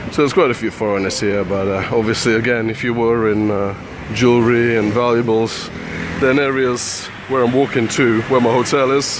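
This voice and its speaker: A man at medium pitch and a moderate pace, fairly even in intonation, with audible room echo and noticeable background noise. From UK. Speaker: travel vlogger. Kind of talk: walking vlog commentary. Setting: outdoors, walking city streets. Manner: quiet, hushed; hesitant, many fillers.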